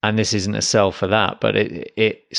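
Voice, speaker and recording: In a very clean recording with a silent background, a man speaks at a fairly low pitch in a monotone, flat intonation, the sound dry and close with no echo. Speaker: podcast host. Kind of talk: solo podcast monologue.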